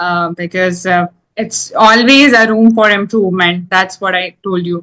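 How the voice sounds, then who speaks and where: Speaking with an Indian accent, a woman with a medium pitch keeps a moderate pace and fairly even intonation. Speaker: English teacher. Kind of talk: casual chat.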